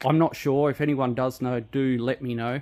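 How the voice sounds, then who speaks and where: A man speaks at a moderate pace in an Australian accent. His pitch is fairly high. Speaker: car enthusiast vlogger. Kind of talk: casual tutorial. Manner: hesitant, many fillers.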